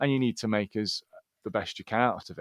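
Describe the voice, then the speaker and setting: A man with a Scottish accent talks at a fairly quick pace on a very clean recording with a silent background and a dry, close sound with no echo. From Scotland. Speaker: sports podcast co-host. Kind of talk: casual chat.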